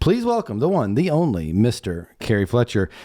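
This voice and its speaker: A man's dark, mellow tone at medium pitch and a fairly slow pace, on a very clean recording with a silent background. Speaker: podcast host. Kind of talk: podcast interview. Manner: energetic.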